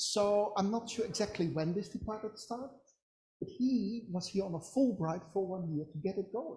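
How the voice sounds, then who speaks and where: With a Dutch accent, a woman speaks at a moderate pace and medium pitch, her dark, mellow tone somewhat breathy and her pitch varying in an ordinary way. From Netherlands. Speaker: psychology academic. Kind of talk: webinar talk.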